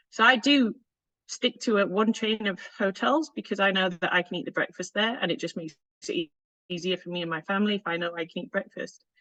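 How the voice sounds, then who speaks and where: With a Northern English accent, a woman speaks very fast at a medium pitch. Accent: Northern British. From northern England. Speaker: food safety consultant and conference speaker. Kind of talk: conference presentation.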